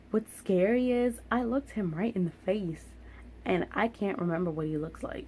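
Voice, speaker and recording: A woman speaks with a dark, mellow tone that is somewhat breathy. Her intonation is lively and her pace moderate. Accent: American. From Philadelphia, US. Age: 20s. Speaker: vlogger. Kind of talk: storytime vlog.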